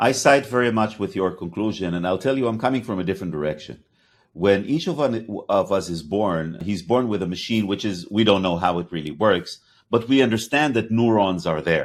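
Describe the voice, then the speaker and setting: With a slight Hebrew accent, a man talks at a fairly quick pace in a fairly low voice with lively intonation. The recording is very clean, with a silent background. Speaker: podcast host, company CEO. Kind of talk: interview conversation. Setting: podcast.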